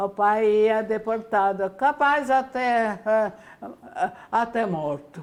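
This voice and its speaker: At a very slow pace, a woman with a Ukrainian accent speaks in a fairly high pitch. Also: ordinary pitch variation. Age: 80s+. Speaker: famine survivor. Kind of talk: interview answer.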